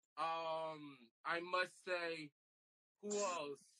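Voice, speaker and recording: A man speaks in a raised, projected voice with a bright, sharp tone. The sound is dry and close, with no echo. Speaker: health worker and club promoter. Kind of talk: casual interview chat.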